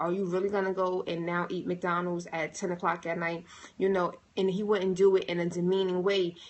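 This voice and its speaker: This is a woman with an ordinary speaking voice, medium pitch and a moderate pace. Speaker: motivational speaker. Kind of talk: livestream monologue. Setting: livestream.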